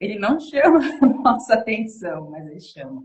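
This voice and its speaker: With pitch swinging very widely, a woman talks at a moderate speed. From São Paulo state, Brazil. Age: 30s. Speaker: women's devotional preacher. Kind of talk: sermon.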